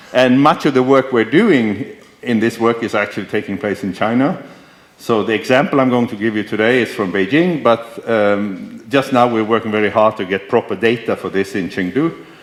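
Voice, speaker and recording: A man speaks at a moderate pace in an ordinary speaking voice with ordinary pitch variation. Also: medium pitch for a man. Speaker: professor. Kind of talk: lecture.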